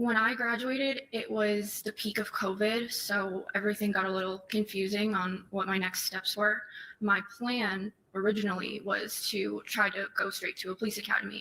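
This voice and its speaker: Amid noticeable background noise, a woman with an American accent and medium pitch talks at a moderate pace with monotone, flat intonation. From Massachusetts (Methuen). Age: 20s. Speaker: trial witness. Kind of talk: court testimony. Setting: courtroom. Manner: soft-spoken. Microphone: too far from the mic, hard to hear.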